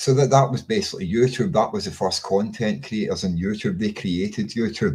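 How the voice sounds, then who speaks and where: A man with a Scottish accent talks at a moderate pace using lively intonation. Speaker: political commentator. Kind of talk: casual monologue. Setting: webcam recording at home. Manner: halting, many fillers and repeats.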